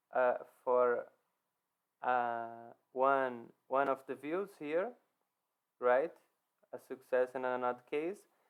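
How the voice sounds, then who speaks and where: A man's medium-pitched voice with a non-native accent, ordinary pitch variation, a very slow pace and long, frequent pauses. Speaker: software developer. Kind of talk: code walkthrough presentation. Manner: halting, with fillers and repetitions.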